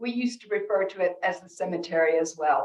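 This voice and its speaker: An American-accented woman. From North America. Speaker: rabbi and speaker. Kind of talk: keynote talk with storytelling.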